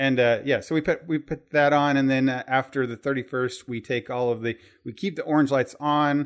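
A man's ordinary speaking voice, fairly high in pitch, with fairly even intonation and hardly any pauses. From Southern Indiana. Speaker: podcast host. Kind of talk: casual chat.

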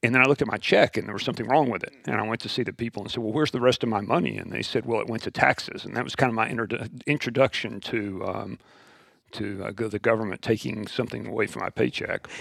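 Talking at a very fast pace in an American accent, a man with a medium pitch, vocal fry and ordinary pitch variation comes through in a dry, close sound with no echo. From West Texas. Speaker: school founder and teacher. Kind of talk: interview.

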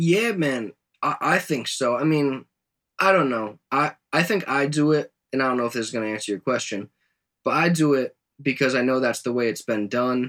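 A man talks in a plain, everyday voice, medium in pitch, at a moderate pace with ordinary pitch variation. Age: 20s. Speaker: rapper. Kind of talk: casual interview.

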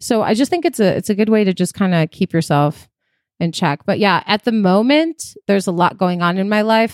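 A normal speaking voice with an American accent moves at a moderate pace with lively intonation and very even loudness, recorded dry and close with no echo on a very clean track with a silent background. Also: woman. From Chicago, US Midwest. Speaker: private chef and caterer. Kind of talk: casual chat.

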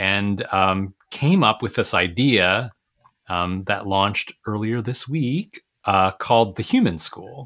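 On a very clean recording with a silent background, a man with a fairly low pitch and ordinary pitch variation uses an ordinary speaking voice at a fairly slow pace. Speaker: retired school superintendent, education coach. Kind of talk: interview.

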